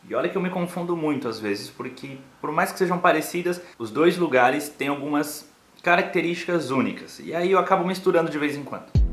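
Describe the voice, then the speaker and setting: Faint music plays behind a man who speaks at a fairly quick pace in a high pitch with ordinary variation. The room echo is audible. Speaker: vlogger. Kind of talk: casual vlog chat. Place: home room. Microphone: phone near.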